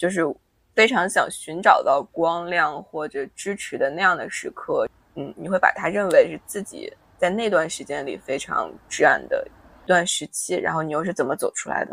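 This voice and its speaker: Big swings in loudness from a woman speaking at a moderate pace. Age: 20s. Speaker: podcast co-host. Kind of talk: casual chat.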